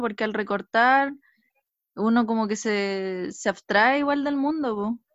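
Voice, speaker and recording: In a Chilean accent, a woman with a fairly high pitch talks at a fairly slow pace with ordinary pitch variation. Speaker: collage artist and teacher. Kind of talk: casual chat.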